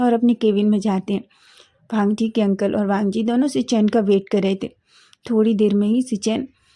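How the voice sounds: The speaker uses a natural reading voice. Intonation stays fairly even.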